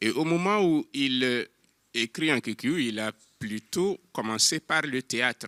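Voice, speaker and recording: A man speaks with a bright, sharp tone and lively intonation. The sound is dry and close, with no echo. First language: an African language (speaking French). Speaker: novelist. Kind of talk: panel discussion.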